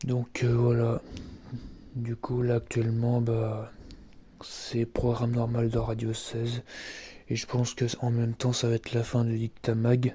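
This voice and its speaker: A man with a medium pitch and a dark, mellow, somewhat breathy tone speaks very slowly in a monotone, flat intonation, with long, frequent pauses. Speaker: amateur radio vlogger. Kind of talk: casual monologue. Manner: halting; soft-spoken.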